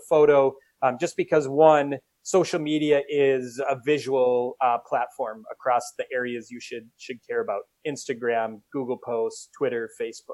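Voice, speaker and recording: A man's fairly high voice with a Minnesotan accent, at a moderate pace with fairly even intonation, dry and close with no echo. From US Minnesota. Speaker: company CEO. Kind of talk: casual interview chat.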